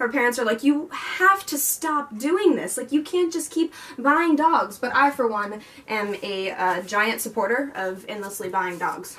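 Slowish and high-pitched, a woman speaks with very wide pitch swings. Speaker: book vlogger. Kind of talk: casual vlog chat. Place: home room. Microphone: camera far.

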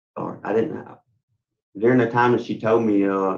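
A man with a Louisiana accent and monotone, flat intonation, against a quiet background. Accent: Southern US (Louisiana). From western Louisiana, Leesville area. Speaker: inmate at parole hearing. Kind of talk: testimony. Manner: halting. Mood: earnest, pleading. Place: office.

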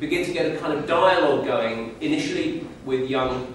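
Strong room echo and noticeable background noise surround a man speaking at a moderate pace with fairly even intonation. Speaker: speaker. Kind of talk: public talk.

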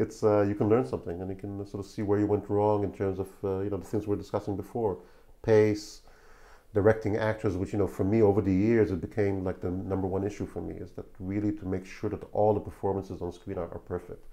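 In an Israeli accent, a man talks at a very fast pace, his fairly low voice dark and mellow in tone. His intonation stays monotone and flat over a quiet background. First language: Hebrew. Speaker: film director. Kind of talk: interview.

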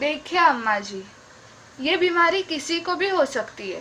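A woman speaks in a raised, projected voice. Light background noise is present. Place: home room. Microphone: phone near.

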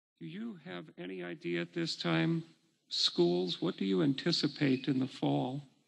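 Loudness swings widely and pitch swings very widely as the voice moves at a fairly slow pace. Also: man, medium pitch for a man. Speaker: county board chairman. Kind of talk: meeting chairing. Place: hall. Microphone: podium.

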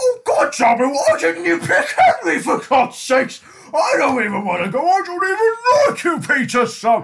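Using a put-on character voice at an extremely high pitch, a man speaks at a moderate pace over clear background noise. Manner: irritable, snobbish.

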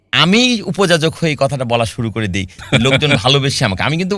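On a very clean recording with a silent background, a man speaks at a fairly high pitch with vocal fry and very wide pitch swings. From Chuadanga, southwestern Bangladesh. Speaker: sales trainer. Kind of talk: interview. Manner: formal.

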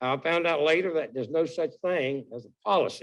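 At a moderate pace, a man with a Southern US accent speaks in a fairly high pitch, his pitch varying in an ordinary way. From North Carolina. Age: 80s+. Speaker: military veteran, public commenter. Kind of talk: public comment at county meeting. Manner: halting.

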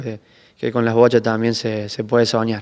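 Against a quiet background, a man speaks at medium pitch. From Argentina, Córdoba province. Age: 20s. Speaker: bocce world champion; interviewee. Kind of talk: interview. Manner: halting, many repetitions and fillers. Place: hall. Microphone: handheld.

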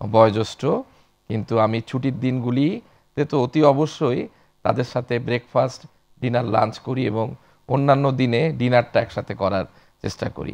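A man's fairly even intonation comes through against a quiet background. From Bangladesh. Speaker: bank executive; guest. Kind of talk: interview. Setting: studio. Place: studio. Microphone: lapel.

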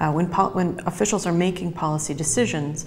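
A woman speaks at a fairly quick pace in a very deep, low voice with fairly even intonation, over light background noise. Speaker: interviewee. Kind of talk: interview answer. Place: office.

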